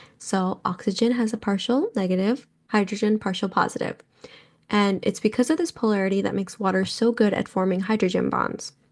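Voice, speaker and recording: Upbeat in tone, a woman speaks at a fairly quick pace with a medium pitch. Her pitch varies in an ordinary way. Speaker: biology tutor. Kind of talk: educational podcast, unscripted explanation. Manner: casual, upbeat; halting, self-correcting.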